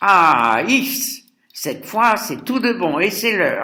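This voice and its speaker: A man's put-on character voice, raised and projected, high-pitched, with lively intonation at a very slow pace. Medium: read story. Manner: brusque, impatient.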